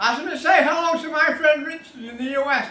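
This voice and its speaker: A man with a British accent speaks at a moderate pace in a raised, projected voice. Noticeable background noise and audible room echo fill the recording. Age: 70s. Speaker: motorcycle restorer. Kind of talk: tutorial. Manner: casual, chatty.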